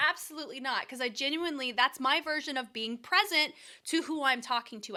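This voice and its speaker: Raised and projected, the voice has an American accent, a bright, sharp tone and an animated, lively intonation at a fairly quick pace. The recording is very clean with a silent background. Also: woman. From US South. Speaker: dance choreographer and reaction video host. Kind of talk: casual chat.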